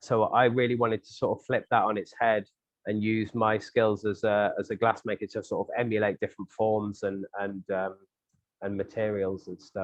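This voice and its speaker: A man speaks in a southern English accent at a moderate pace. His fairly low voice stays monotone and flat. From England, St Albans. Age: 30s. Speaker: glassblower and sculptor. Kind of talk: interview answer.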